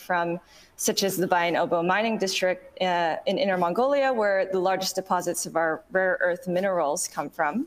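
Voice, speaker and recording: A woman with an American accent uses a plain, everyday voice at a medium pitch and a moderate pace. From Hawaii. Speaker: artist; panelist. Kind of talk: online panel presentation. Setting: video call. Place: home room.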